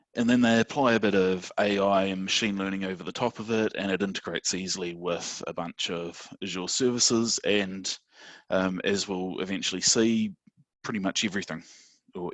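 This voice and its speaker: In a New Zealand accent, a man speaks at a moderate pace with fairly even intonation, in a dry, close sound with no echo against a quiet background. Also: fairly low pitch for a man. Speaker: systems administrator presenting at user group. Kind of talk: technical presentation. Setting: online video meeting.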